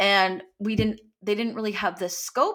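A woman with a Canadian accent speaks at a moderate pace in a medium pitch, with a normal speaking voice. The recording is very clean, with a silent background. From Canada. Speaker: actor. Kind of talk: casual chat.

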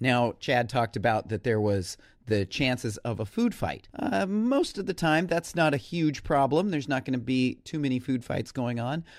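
With an unremarkable speaking voice, a man speaks at a moderate pace and medium pitch with lively intonation and hardly any pauses. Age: middle-aged. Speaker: teacher and podcast co-host. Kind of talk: casual chat. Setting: remote recording across the country.

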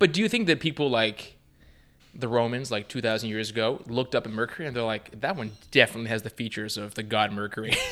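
Amid noticeable background noise, a man speaks at a very fast pace with a medium pitch and ordinary pitch variation. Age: 40s. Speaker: science podcast co-host. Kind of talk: casual chat.

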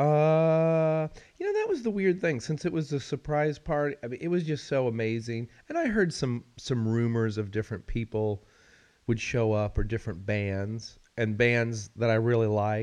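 A man with an ordinary speaking voice, medium pitch, lively intonation and a moderate pace over a quiet background. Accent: American. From Missouri. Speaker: podcast co-host and radio host. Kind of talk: casual chat. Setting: recording with headphones and mics.

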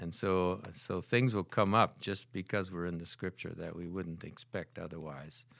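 A man with an Upper Midwest accent speaks at a moderate pace in a very deep, low voice with fairly even intonation and hardly any pauses. The recording is very clean, with a silent background. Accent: Upper Midwest American. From US Midwest (Holland, Michigan). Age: 70s. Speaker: retired math professor and church prayer leader. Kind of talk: testimony.

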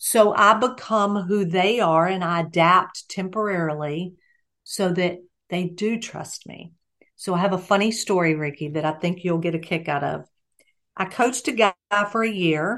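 This woman has a plain, everyday voice at a medium pitch. She talks at a moderate pace with ordinary pitch variation. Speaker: executive coach and trainer. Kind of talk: casual interview chat.

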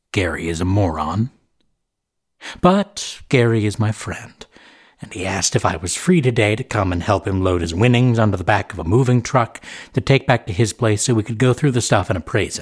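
At a moderate pace, a man speaks in a theatrical, intense tone with a fairly low pitch, ordinary pitch variation and a somewhat breathy quality. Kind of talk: carnival barker patter, then first-person scripted fiction narration. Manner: booming showman's patter, theatrical and ominous, with mock-grand menace; paranoid, intense, snapping irritably at Gary in the story.

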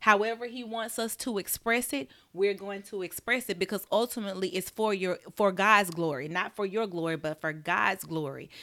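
With an Alabama accent, a woman speaks at a moderate pace and medium pitch, with ordinary pitch variation and a bright, sharp tone, in a very clean recording with a silent background. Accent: Southern US (Alabama). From US South, Birmingham, Alabama. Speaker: nurse practitioner and wellness entrepreneur. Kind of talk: casual interview, faith testimony.

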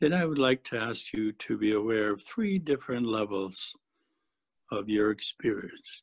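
The sound is dry and close with no echo. A man uses an ordinary speaking voice at a medium pitch, with ordinary pitch variation. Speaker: Satir model trainer. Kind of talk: guided meditation. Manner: slow, calm, gentle; soft-spoken, measured.

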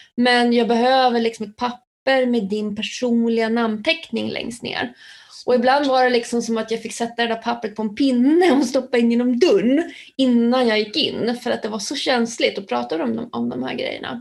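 It is a plain, everyday voice. The intonation is fairly even and the pace moderate. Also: woman, fairly high pitch for a woman. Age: 50s. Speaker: alcohol prevention educator. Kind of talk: casual interview.

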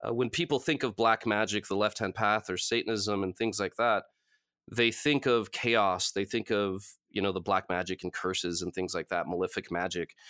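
In a very clean recording with a silent background, a man speaks with a Californian accent at a fairly low pitch. His tone is bright and sharp, his pace moderate, and his pitch variation ordinary. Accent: Californian American. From Los Angeles. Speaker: author and occult lecturer. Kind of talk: interview.

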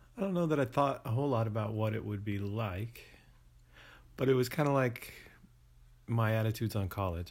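Over a silent background in a very clean recording, a man talks at a fairly quick pace in a fairly low, somewhat breathy voice with ordinary pitch variation. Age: 40s. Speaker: podcast co-host interviewed as guest. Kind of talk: interview.

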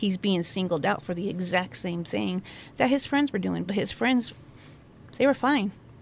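With lively intonation, a woman speaks at a moderate pace in an ordinary speaking voice at medium pitch. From Central Oregon, La Pine. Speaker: host's wife, former retail manager. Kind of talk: casual chat.

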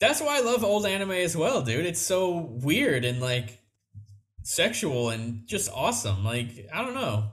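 At a fairly slow pace, a man speaks with a fairly high pitch and very wide pitch swings. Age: 20s. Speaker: podcast host. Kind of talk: casual chat.

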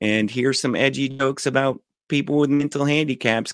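At a fairly slow pace, a man with a plain, everyday voice speaks at medium pitch with ordinary pitch variation, in a dry, close sound with no echo. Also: very clean recording, silent background. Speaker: podcast co-host. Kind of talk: casual chat.

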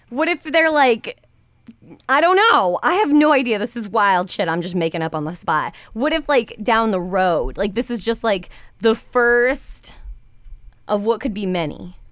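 Loud and fairly slow, a woman with a fairly high pitch swings her voice very widely on a very clean recording with a silent background. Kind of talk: casual chat.

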